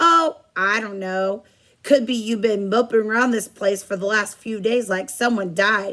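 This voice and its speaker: Using a put-on character voice, a woman speaks at a medium pitch and a moderate pace with ordinary pitch variation. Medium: read story.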